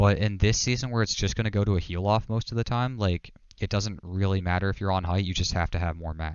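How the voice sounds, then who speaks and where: Hardly pausing, a man talks at a fairly low pitch with fairly even intonation. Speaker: gaming coach. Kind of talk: coaching session over gameplay. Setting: live stream call. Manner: fast; casual, filler-heavy.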